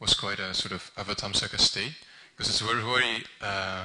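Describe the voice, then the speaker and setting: The pace here is moderate. The speaker is a man with a Dutch accent. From Netherlands. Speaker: Buddhist translator volunteer. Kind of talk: public talk at commemorative event. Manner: halting, many fillers and restarts.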